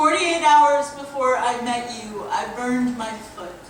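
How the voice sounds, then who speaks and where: Noticeable background noise accompanies a woman's high voice. She talks at a fairly slow pace with ordinary pitch variation. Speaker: poet. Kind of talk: spoken word poetry performance. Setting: live stage.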